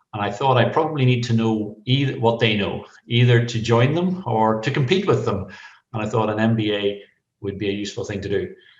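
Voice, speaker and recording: A man speaks fairly quickly in a Northern Irish accent, his medium-pitched voice somewhat breathy with ordinary pitch variation. Audible room echo surrounds the recording. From Northern Ireland. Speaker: veterinarian. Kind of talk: podcast interview.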